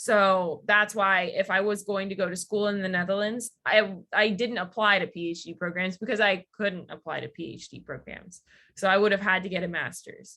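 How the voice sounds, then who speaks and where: Against a quiet background, a woman with an American accent and a bright, sharp tone speaks at medium pitch and a moderate pace with hardly any pauses. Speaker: PhD student, guest speaker. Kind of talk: webinar Q&A. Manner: casual, many fillers.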